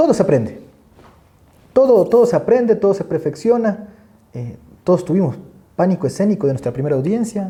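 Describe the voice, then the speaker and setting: With a dark, mellow tone, the voice moves at a fairly quick pace through very wide pitch swings and long, frequent pauses. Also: man, high pitch for a man. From Ecuador, coast (El Oro province). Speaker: criminal court judge and law professor. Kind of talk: podcast interview. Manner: fast; halting, many repetitions.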